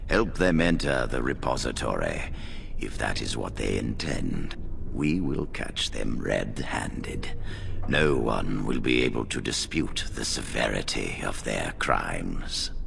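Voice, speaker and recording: A man's put-on character voice at a fairly slow pace, over loud background noise. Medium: video game. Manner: authoritative, measured.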